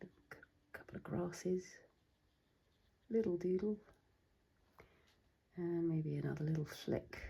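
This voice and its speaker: A woman's fairly low, somewhat breathy voice with a dark, mellow tone, fairly even intonation, a fairly slow pace and long, frequent pauses. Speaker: watercolour artist. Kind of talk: casual talk to camera.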